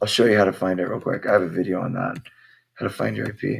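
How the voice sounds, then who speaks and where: A very fast pace with vocal fry. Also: man. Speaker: tech support youtuber. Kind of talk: tutorial. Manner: casual. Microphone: laptop microphone.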